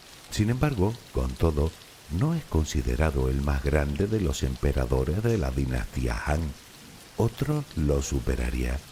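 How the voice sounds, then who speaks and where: A man talks in a calm tone with a very deep, low pitch and lively intonation, at a fairly slow pace. Noticeable background noise runs underneath. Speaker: sleep story narrator. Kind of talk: sleep story. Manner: calm, slow.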